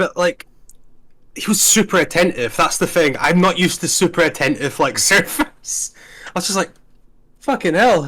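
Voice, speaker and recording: A man with a Scottish accent, high pitch, bright, sharp tone, animated delivery and long, frequent pauses, on a very clean recording with a silent background. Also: moderate pace. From Scotland, Invergordon (Highlands). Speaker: gaming YouTuber hosting tier list. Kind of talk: casual chat. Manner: animated, hyper; halting, repetitive fillers.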